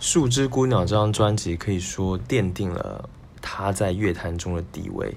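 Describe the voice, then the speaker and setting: With audible room echo, a man talks at a fairly slow pace in a fairly low pitch, using ordinary pitch variation. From Taiwan. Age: 20s. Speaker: music podcast host. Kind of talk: solo music commentary. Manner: casual with frequent fillers.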